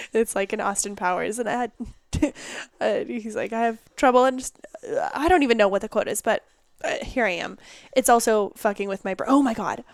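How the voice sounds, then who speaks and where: A woman talks loudly and fairly quickly at a fairly high pitch. Her pitch varies in an ordinary way, broken by long, frequent pauses. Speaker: podcast host. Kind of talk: casual chat.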